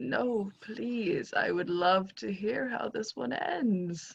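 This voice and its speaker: A woman speaks very slowly in a put-on character voice. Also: medium pitch for a woman. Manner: calm, amused, polite.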